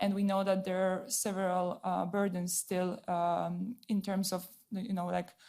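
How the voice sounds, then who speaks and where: In a Polish accent, a woman speaks very slowly at a medium pitch with a dark, mellow tone, monotone, flat intonation and very even loudness, on a very clean recording with a silent background. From Poland. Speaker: audience member asking a question. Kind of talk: audience question at a panel event. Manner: halting.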